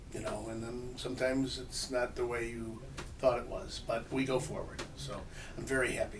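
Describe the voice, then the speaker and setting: Audible room echo and noticeable background noise fill the recording. A man with a medium pitch speaks at a moderate pace. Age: 60s. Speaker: sports team owner. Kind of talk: interview. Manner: hesitant, with many fillers.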